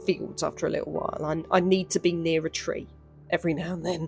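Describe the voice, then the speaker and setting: A woman's voice is heard with music in the background. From London. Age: 30s. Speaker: artist. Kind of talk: casual voiceover.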